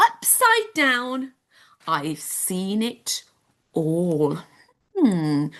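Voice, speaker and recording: A woman with a British accent speaks with very wide pitch swings. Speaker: home education teacher. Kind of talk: live online children's lesson. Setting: live stream with chat. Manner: whispering.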